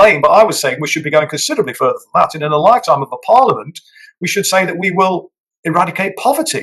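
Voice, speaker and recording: Someone with an English accent speaks at a very fast pace. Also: man. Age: 60s. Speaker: politician. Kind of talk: interview. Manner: hesitant, many fillers.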